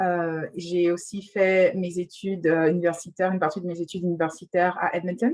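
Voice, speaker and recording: Fairly quick, flat, monotone delivery from a fairly low-voiced woman, with hardly any pauses. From western Canada. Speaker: lawyer. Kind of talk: panel discussion.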